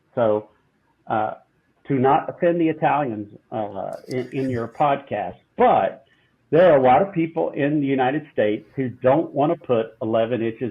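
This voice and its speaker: Moderate-paced speech from a man in a Southern US accent, pitched in the middle range, its rise and fall ordinary. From southeastern US. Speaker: food company CEO. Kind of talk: interview answer.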